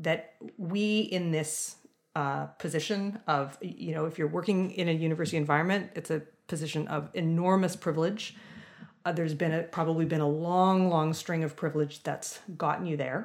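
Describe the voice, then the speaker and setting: A woman speaks in a plain, everyday voice, fairly low in pitch, at a moderate pace with fairly even intonation. The recording is very clean, with a silent background. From Southern Ontario, Canada. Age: 40s. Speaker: music professor. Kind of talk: interview.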